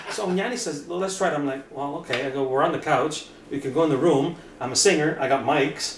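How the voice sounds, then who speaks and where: A very fast, animated voice amid noticeable background noise and audible room echo. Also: man, fairly high pitch for a man, ordinary pitch variation. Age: 50s. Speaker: rock singer and hockey podcaster. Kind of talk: casual interview chat.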